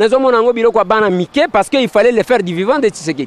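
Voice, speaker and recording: At a very fast pace with ordinary pitch variation, the voice comes through as a dry sound with no echo. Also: man. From DR Congo. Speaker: street reporter. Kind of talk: commentary to camera. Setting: outdoors. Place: street. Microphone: handheld.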